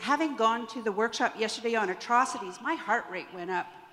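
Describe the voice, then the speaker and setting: Over noticeable background noise, a woman talks with a Canadian accent at a fairly quick pace. Her pitch is fairly high, with ordinary variation. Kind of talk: audience question at a panel.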